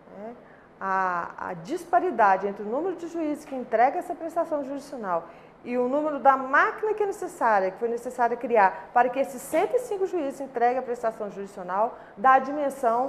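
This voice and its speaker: At a moderate pace, a woman speaks at a high pitch with very wide pitch swings. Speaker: labour court judge. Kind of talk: interview answer.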